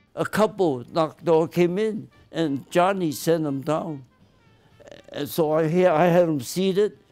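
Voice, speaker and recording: Music plays in the background as a man speaks. His pitch is high, with ordinary pitch variation. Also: fairly slow pace. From US West. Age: 90s. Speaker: retired optometrist. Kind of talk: casual chat.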